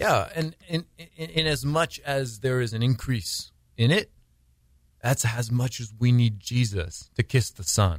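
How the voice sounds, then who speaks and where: A man speaks at a fairly slow pace, his somewhat breathy voice carrying lively intonation. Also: medium pitch for a man. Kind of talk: radio interview. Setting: studio.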